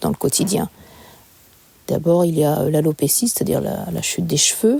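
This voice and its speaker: Her voice sits at a fairly low pitch for a woman. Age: 60s. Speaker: cancer patient. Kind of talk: testimony. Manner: halting.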